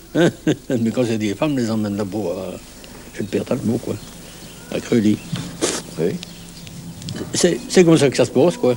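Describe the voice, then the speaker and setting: A Norman accent at a fairly slow pace, with lively intonation, long, frequent pauses and noticeable background noise. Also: man, medium pitch for a man. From Normandy, France. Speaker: village bonesetter. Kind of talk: interview. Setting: outdoors at a bus shelter. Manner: halting, repeats words.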